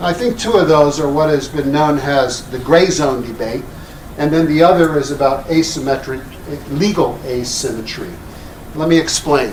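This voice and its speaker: There is noticeable background noise and audible room echo. A man with an American accent speaks at a fairly high pitch. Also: lively intonation, moderate pace. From Texas. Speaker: international law scholar. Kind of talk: panel talk.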